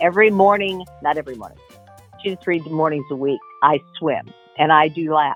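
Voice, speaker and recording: A woman with an American accent, very deep and low in pitch, talking at a fairly quick pace with music in the background. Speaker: voice actor. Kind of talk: interview answer.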